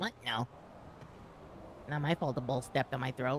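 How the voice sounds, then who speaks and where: A man uses a put-on character voice at medium pitch. He keeps a moderate pace over clear background noise. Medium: game stream.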